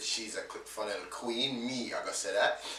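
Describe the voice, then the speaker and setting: A man's voice is recorded with noticeable background noise and audible room echo. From born in England, grew up in Jamaica. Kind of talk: casual interview chat.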